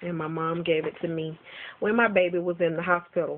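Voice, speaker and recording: Here a woman speaks at a moderate pace. Her pitch sits fairly low. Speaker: vlogger. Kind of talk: casual vlog monologue. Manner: loud; hesitant with fillers.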